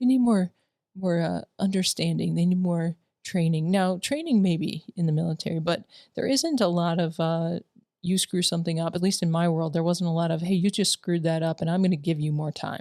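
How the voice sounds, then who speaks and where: A woman speaks at a fairly quick pace with a fairly low pitch and a dark, mellow tone. Her pitch varies an ordinary amount, and the sound is dry and close with no echo. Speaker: military veteran and school staff co-host. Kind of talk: casual chat. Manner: halting.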